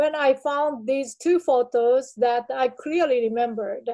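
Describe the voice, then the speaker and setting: A woman with a high pitch and a dark, mellow tone, with a Japanese accent, against a quiet background. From Japan, small village. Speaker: artist. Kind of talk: artist talk presentation. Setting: video call. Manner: halting.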